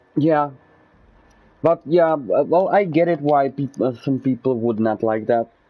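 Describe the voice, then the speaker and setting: A man with a Czech accent, fairly high pitch, ordinary pitch variation and a fairly slow pace. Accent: Czech accent, noticeable. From Czech Republic. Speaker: gaming streamer. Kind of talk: casual live gameplay commentary. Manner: halting, many fillers and restarts.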